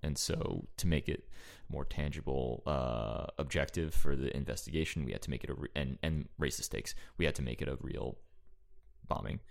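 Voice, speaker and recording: A man's very deep, low-pitched voice with vocal fry, fairly even intonation and a moderate pace. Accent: American. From Central New Jersey, East Brunswick. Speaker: screenwriter and improviser. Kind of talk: casual interview chat. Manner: halting, many fillers.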